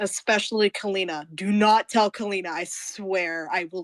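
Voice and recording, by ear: Someone is reading aloud in a natural voice, with intonation that stays fairly level.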